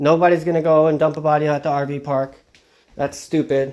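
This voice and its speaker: This man has a Long Island accent and a fairly high pitch. His intonation is fairly even, and the recording is very clean with a silent background. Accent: Long Island New York. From Long Island, New York. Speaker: true crime vlogger. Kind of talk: casual vlog monologue. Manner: halting, many fillers and restarts.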